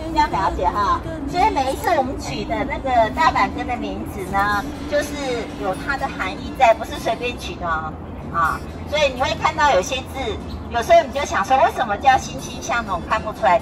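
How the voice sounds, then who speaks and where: Moderate pace over clear background music. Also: woman. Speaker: hiking guide teacher. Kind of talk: outdoor guided explanation. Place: forest.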